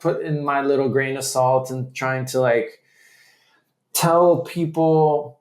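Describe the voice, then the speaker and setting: Fairly high in pitch, a man with an American accent keeps his intonation fairly even. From Chile, childhood partly in US. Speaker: podcast host, crypto journalist. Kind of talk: interview podcast conversation. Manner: hesitant, many fillers.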